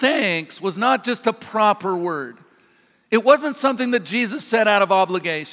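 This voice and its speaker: A man with an American accent speaks fairly slowly in a raised, projected voice, his high pitch and bright, sharp tone carried by lively intonation. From US Pacific Northwest (Washington state). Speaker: pastor. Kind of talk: sermon. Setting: church. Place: church.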